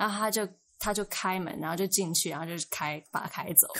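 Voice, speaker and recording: A woman speaks at medium pitch and a moderate pace. Hers is an ordinary speaking voice with fairly even intonation. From Taiwan. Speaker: former international school student. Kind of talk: casual chat.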